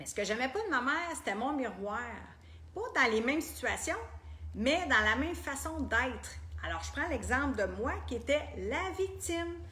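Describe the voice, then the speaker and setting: A woman with a Quebec accent speaks at a moderate pace, with audible room echo. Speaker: personal development coach. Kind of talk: group coaching talk.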